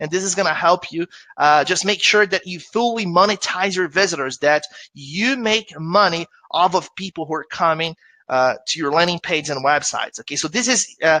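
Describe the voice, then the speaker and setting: A man speaks at a fairly quick clip with a Brazilian Portuguese accent, his pitch high and his tone bright and sharp. The sound is dry and close with no echo, and his pitch varies in an ordinary way. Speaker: affiliate marketer presenting webinar. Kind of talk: webinar presentation. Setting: live online webinar. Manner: conversational, with filler hesitations.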